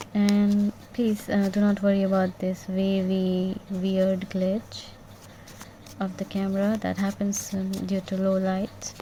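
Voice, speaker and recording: Soft-spoken and very slow, a woman at a medium pitch talks with monotone, flat intonation over noticeable background noise. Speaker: tarot reader. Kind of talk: tarot reading. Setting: bedroom at night.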